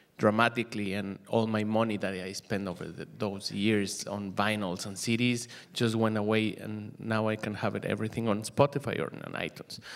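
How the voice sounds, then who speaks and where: A man with a Mexican accent, fairly low-pitched, with fairly even intonation and a moderate pace. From Mexico, Mexico City. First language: Spanish. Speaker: musician and DJ. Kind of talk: panel presentation. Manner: halting, many fillers.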